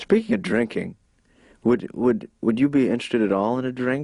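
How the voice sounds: Putting on a nasal character voice, a man talks at a fairly quick pace in a medium pitch with lively intonation.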